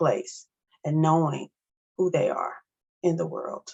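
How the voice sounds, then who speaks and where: Someone with a Missouri accent speaks at a moderate pace. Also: woman. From US South, St. Louis, Missouri. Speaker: academic advisor and speaker. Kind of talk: educational presentation.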